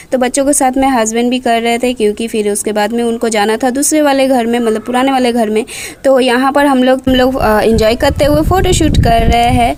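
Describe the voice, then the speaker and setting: Over noticeable background noise, a woman speaks at a moderate pace with hardly any pauses. Her pitch is high, with ordinary variation and very even loudness. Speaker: vlogger. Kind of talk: vlog narration.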